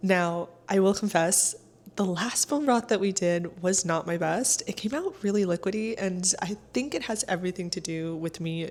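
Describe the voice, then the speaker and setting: Noticeable background noise runs under a woman speaking at a moderate pace with a medium pitch and ordinary pitch variation. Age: 30s. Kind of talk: casual cooking vlog talk to camera.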